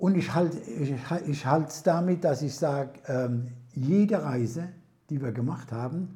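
A man with a dark, mellow, somewhat breathy tone speaks at a fairly high pitch and a fairly slow pace. His intonation is lively, and the room echo is audible. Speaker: retired master baker. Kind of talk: casual interview. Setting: at home over prosecco. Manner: halting, many fillers.

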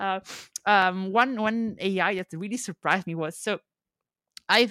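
The tone is bright and sharp. The sound is dry and close with no echo, in a very clean recording with a silent background. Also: woman. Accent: non-native. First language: not English. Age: 20s. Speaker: YouTuber. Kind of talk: casual chat. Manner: halting, repeats words.

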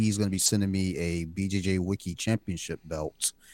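A man talks at a fairly quick pace in a very deep, low voice with fairly even intonation. The sound is dry and close with no echo, and the recording is very clean with a silent background. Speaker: horror podcast host. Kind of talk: casual chat.

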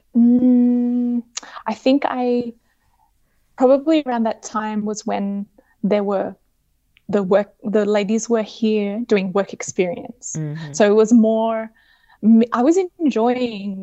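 Speaking at a very slow pace with long, frequent pauses, a woman with an Australian accent uses a fairly high pitch and ordinary pitch variation. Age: 30s. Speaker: fashion designer. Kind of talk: casual interview. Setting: remote call.

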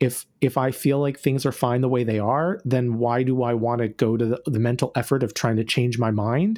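A man's fairly quick, medium-pitched delivery in an unremarkable speaking voice. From North Carolina, US South. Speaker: author and activist. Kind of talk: interview conversation. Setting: remote call.

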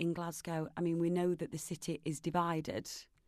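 A woman with a Nottingham accent talks in a fairly low pitch. The background is quiet. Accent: Nottingham East Midlands English. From Nottingham, England. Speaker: film producer and charity campaigner. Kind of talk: casual interview chat.

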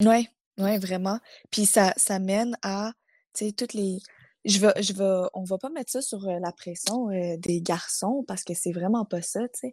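A woman with a Quebec accent has a dark, mellow tone and ordinary pitch variation. She speaks at a fairly slow pace, and the sound is dry and close with no echo. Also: medium pitch for a woman, very clean recording, silent background. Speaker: podcast host. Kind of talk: casual chat.

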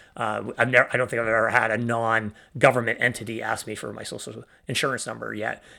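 In a very clean recording with a silent background, a man with a medium pitch talks very fast in a bright, sharp tone with vocal fry, flat monotone intonation and big swings in loudness. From Canada. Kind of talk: interview. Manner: halting, many fillers.

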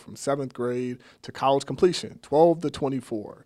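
A man with an American accent and a plain, everyday voice, medium pitch, a fairly quick pace and a very clean recording with a silent background. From Sacramento, California. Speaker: nonprofit CEO. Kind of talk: interview.

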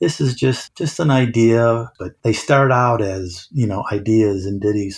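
A man talks at a moderate pace, his voice somewhat breathy and fairly low in pitch. He has an American accent and ordinary pitch variation. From central Illinois. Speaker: music store district manager. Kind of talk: interview.

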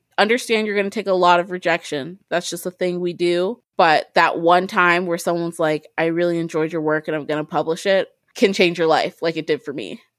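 In a Midwestern US accent, a woman with a fairly low pitch speaks at a fairly quick pace with hardly any pauses and fairly even intonation, captured in a very clean recording with a silent background and a dry, close sound with no echo. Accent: US Midwest. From Ohio, Columbus. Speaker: author. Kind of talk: interview.

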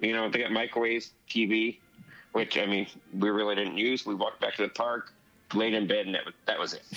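A man speaks fairly quickly with an American accent, his pitch medium and his intonation flat and monotone. Music plays in the background. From Southern California (La Mirada). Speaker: podcast listener sharing a trip report. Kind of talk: casual chat.

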